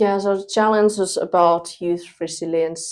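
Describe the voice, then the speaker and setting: A woman's monotone, flat delivery in a very clean recording with a silent background. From Finland. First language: Thai. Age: 20s. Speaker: university student. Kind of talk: interview.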